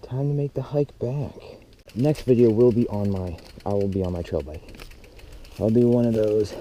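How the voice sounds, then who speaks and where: Over noticeable background noise, a man of medium pitch talks at a moderate pace with ordinary pitch variation and long, frequent pauses. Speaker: mountain bike vlogger. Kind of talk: casual vlog talk. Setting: outdoors on trail.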